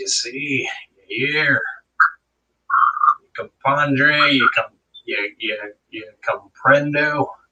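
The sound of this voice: In a put-on character voice, a man speaks very slowly and raspily at a fairly high pitch, leaving long, frequent pauses.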